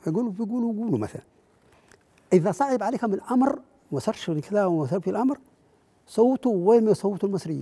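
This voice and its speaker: A man with a high pitch, lively intonation and a moderate pace, broken by long, frequent pauses. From Libya. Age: 80s+. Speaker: veteran political activist; interview guest, witness. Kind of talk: interview testimony. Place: studio. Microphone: lapel.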